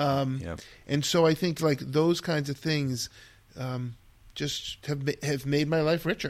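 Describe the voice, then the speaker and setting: In an ordinary speaking voice with an American accent, a man talks at a fairly slow pace with a fairly high pitch and fairly even intonation, on a very clean recording with a silent background. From Massachusetts. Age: 60s. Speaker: elementary school teacher. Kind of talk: casual interview conversation.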